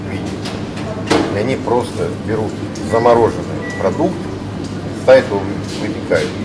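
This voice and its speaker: A man speaks over loud background noise. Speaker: food quality reviewer. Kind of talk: casual vlog commentary. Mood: critical, skeptical. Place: shop. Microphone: phone near.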